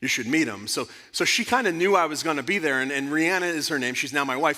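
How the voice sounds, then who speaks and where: A man speaks loudly at a fairly quick pace, his pitch fairly high and his intonation lively. The tone is animated, bright and sharp. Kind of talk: conference talk to parents. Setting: church conference with audience.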